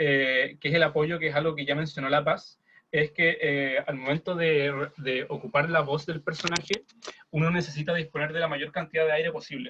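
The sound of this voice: The tone is fairly bright. Intonation stays fairly even. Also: man.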